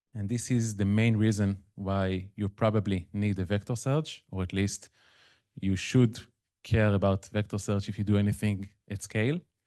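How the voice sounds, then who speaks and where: Male voice with an Israeli accent, a dark, mellow tone, fairly low pitch and fairly even intonation, over a quiet background. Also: moderate pace. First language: Hebrew. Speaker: machine learning consultant. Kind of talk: conference talk. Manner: conversational, with fillers.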